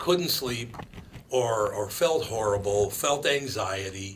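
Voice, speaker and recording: Speaking very slowly with lively intonation, a man with an American accent is heard through audible room echo and noticeable background noise. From Minneapolis, Minnesota. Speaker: radio host. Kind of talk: casual talk radio chat.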